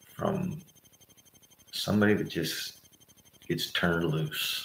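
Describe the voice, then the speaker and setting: A quiet man at a very slow pace, with audible room echo. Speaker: political commentator. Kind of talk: livestream monologue. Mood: agitated, indignant. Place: home room. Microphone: webcam.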